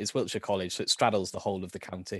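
A man's voice against a quiet background. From Wales, Rhondda Valleys. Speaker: education quality assurance professional and photographer. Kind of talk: casual interview chat. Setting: video call. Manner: halting, repeats words.

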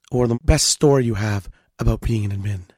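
A somewhat breathy man with a dark, mellow tone, medium in pitch, at a moderate pace, in a dry, close sound with no echo. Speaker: podcast host. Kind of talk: interview.

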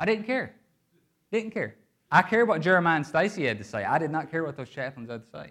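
Very wide pitch swings mark this man's fairly high, bright, sharp voice, which shows vocal fry at a very fast pace. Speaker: pastor. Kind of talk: sermon. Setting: small church group.

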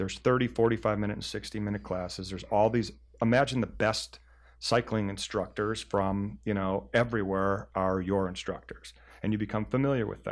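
He speaks at a moderate speed, his pitch fairly low with ordinary variation. The man has an unremarkable speaking voice. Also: very clean recording, silent background. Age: 50s. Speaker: meat company executive. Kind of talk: casual interview. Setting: studio.

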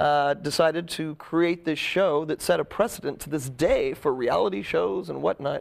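A man keeps to a moderate pace and hardly any pauses as he talks. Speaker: talk show host. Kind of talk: casual interview chat. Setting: studio.

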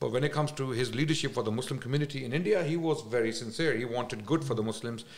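A man's medium-pitched voice at a very fast pace with hardly any pauses and ordinary pitch variation, over noticeable background noise. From Pakistan; Islamabad, Pakistan. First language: Urdu. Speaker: Islamic scholar and speaker. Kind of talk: casual podcast interview.

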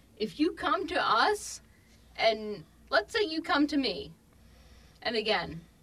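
A woman's high-pitched voice at a very slow pace, with very wide pitch swings and long, frequent pauses over noticeable background noise. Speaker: emergency medicine physician. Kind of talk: casual chat.

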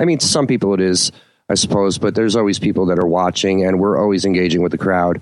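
Against a quiet background, a man with an American accent speaks very fast in a very deep, low pitch, with fairly even intonation and very even loudness. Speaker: bass player. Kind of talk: casual chat.

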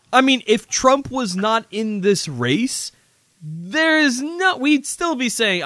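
A raised, projected voice carries a bright, sharp tone and an animated delivery. Its pitch swings very widely. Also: man. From Providence, Rhode Island. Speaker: podcast host. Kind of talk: casual panel discussion on politics. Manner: animated, joking.

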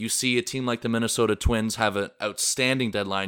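On a very clean recording with a silent background, a man uses an ordinary speaking voice at a fairly low pitch, with fairly even intonation and a fairly quick pace. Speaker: baseball podcast co-host. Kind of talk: casual sports discussion.

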